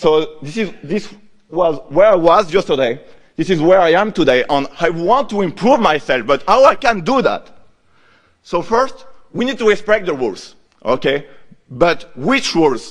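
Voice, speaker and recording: A man speaks in a French accent at a moderate pace. His high pitch swings very widely. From France. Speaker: conference speaker, software developer. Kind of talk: lightning talk.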